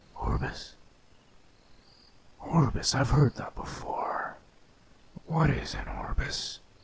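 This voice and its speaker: Using a put-on character voice, a man speaks in a raspy, menacing tone at a very slow pace with long, frequent pauses. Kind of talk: villain voice. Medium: audio drama. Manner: menacing, arrogant, commanding.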